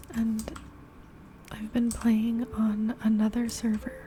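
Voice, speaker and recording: A soft-spoken woman talks in a fairly high voice with a calm, gentle tone. Her pace is very slow and her intonation monotone and flat. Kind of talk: ASMR gameplay commentary, ear to ear soft speaking. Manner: soft-spoken, calm, gentle.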